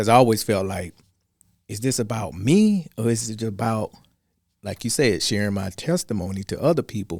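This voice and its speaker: On a very clean recording with a silent background, a man with an American accent speaks at a moderate pace in a fairly low pitch. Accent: Southern US, slightly disguised. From US South, Georgia. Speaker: radio sound engineer and gospel program host. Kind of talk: interview. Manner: halting, with repeated words.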